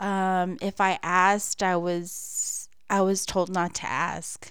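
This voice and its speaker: In an American accent, a woman speaks at a medium pitch. The recording is very clean with a silent background. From San Antonio, Texas. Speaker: missionary's wife. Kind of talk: testimony. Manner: halting, many fillers.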